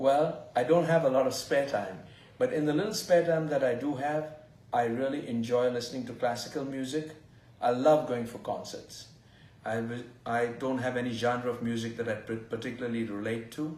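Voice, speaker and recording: With an Indian accent, a man talks at a moderate pace and a medium pitch, his pitch varying in an ordinary way. Noticeable background noise and audible room echo are present. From India (Goa). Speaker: fertility doctor. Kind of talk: interview.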